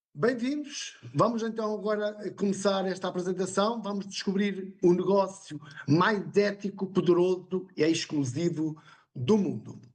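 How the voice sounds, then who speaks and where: A man speaks with a European Portuguese accent. His pitch is high and his pace fairly slow. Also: ordinary pitch variation. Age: 60s. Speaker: independent business partner presenter. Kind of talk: sales pitch.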